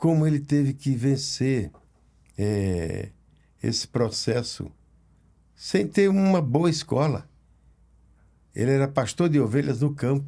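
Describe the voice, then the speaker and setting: A man with a fairly high pitch and a dark, mellow tone talks very slowly, leaving long, frequent pauses. His intonation is lively, his loudness is very even, and the background is quiet. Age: 80s+. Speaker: pastor. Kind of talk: casual chat.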